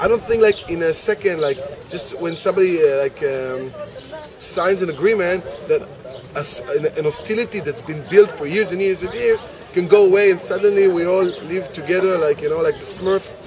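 At a moderate pace, a man talks in a high pitch with ordinary pitch variation. The sound is dry with no echo, though noticeable background noise comes through. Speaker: interviewee. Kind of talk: interview answer. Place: cafe. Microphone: camera far.

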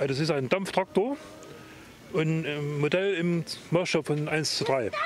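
Faint background noise sits behind a man speaking at a moderate pace, fairly high-pitched, with ordinary pitch variation.

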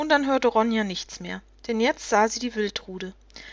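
With ordinary pitch variation, the clip presents an unforced reading voice.

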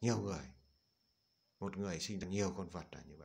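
Very deep and low, a man's voice carries vocal fry and audible room echo. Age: old. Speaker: Buddhist monk. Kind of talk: dharma talk. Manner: halting.

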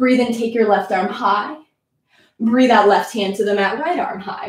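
A woman with a fairly high pitch speaks in a quiet background where room echo is audible. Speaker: yoga instructor. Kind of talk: live-streamed yoga class, instructional cueing. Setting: video call. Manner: calm, rhythmic, clipped cueing; warm, upbeat. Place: home room. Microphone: camera far.

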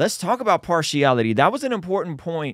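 A man's voice with very wide pitch swings against a quiet background. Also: dry sound with no echo. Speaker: podcast host. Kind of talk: casual podcast conversation. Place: studio. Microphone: studio mic.

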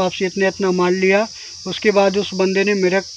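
A man speaks at a fairly slow pace in a high voice, the sound dry with no echo and light background noise behind him. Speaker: small business owner vlogger. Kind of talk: casual vlog chat. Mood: resigned, warning tone. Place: forest. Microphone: phone near.

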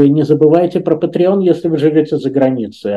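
Dark, mellow tone from a man with a fairly high pitch. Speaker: channel presenter; show host. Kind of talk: announcement to viewers. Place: home room. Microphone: webcam.

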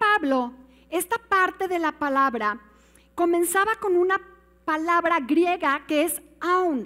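Faint music plays in the background as a woman with a Mexican accent speaks in an animated tone. Her pitch is extremely high with ordinary variation, and her pace is fairly slow. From Mexico. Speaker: pastor. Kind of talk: sermon. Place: church.

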